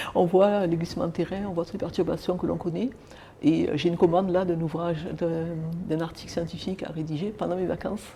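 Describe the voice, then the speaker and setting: A woman talks very fast in a fairly low pitch. Her intonation is fairly even. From southern France (Marseille), of Martinican family. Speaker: author and law lecturer. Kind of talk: TV interview. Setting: TV studio.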